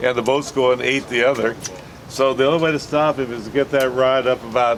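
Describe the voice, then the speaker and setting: Noticeable background noise sits behind a man's medium-pitched voice. He talks fairly quickly with fairly even intonation. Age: 70s. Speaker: fishing charter captain. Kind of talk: safety briefing and instruction. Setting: outdoors on a boat. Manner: casual.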